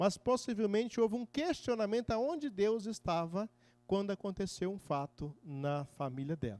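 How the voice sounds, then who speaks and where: In a very clean recording with a silent background and a dry, close sound with no echo, a man speaks at a moderate pace in a high pitch with very wide pitch swings. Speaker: deacon teaching a preaching course. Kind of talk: lecture.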